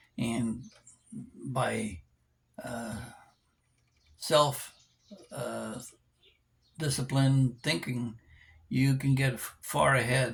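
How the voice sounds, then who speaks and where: A somewhat breathy man speaks very slowly at medium pitch, with long, frequent pauses. His intonation stays fairly even while his loudness swings widely. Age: 70s. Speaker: vlogger. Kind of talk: casual monologue vlog. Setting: indoors at home. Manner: halting with many fillers.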